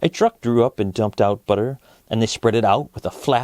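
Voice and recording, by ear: This man's voice has a slightly mellow tone. His pitch sits at a medium level.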